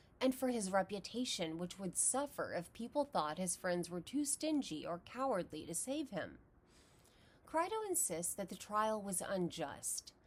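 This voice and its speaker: A woman with a medium-pitched voice speaks with very wide swings in pitch. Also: moderate pace. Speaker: philosophy educator. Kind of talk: lecture.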